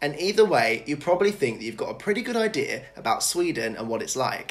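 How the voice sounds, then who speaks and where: With a British accent, a man rattles off his words at a very fast pace. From Britain. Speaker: YouTuber. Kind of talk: scripted to-camera presentation. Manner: animated. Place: home room.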